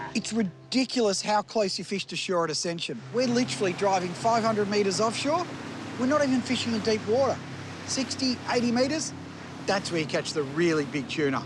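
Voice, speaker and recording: Over noticeable background noise, a man with an Australian accent talks at a fairly quick pace in a high pitch. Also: lively intonation. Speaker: fishing show host. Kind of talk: outdoor adventure show narration. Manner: animated.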